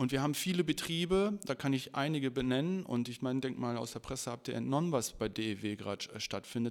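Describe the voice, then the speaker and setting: A normal speaking voice from a man, pitched medium and paced moderately. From Ruhr area, Germany (Bottrop). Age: 40s. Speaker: trade union official. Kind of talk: casual interview. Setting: union office.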